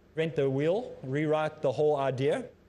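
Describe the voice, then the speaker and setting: A man's voice sits fairly high in pitch and has a dark, mellow tone. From South Africa. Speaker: Islamic teacher. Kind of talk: lecture. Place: studio.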